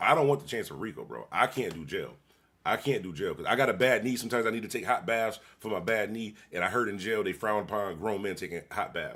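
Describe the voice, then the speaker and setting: An animated man speaks at a very fast pace and a medium pitch. The recording is very clean, with a silent background. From Buffalo, New York. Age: 50s. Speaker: live streamer reacting to videos. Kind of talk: casual livestream reaction commentary.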